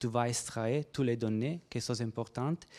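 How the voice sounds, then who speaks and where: A man with a non-native accent speaks at a medium pitch with ordinary pitch variation. The sound is dry and close with no echo, on a very clean recording with a silent background. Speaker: researcher presenting at a workshop. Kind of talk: conference presentation and Q&A. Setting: conference room with audience. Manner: halting, many hesitations and repetitions.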